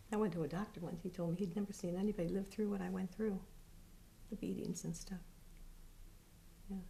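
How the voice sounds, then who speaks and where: Speaking at a very fast pace yet with long, frequent pauses, a woman has a dark, mellow tone with vocal fry, a medium pitch, and monotone, flat intonation. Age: 70s. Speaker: interviewee recounting her childhood. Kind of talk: personal testimony interview. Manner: halting.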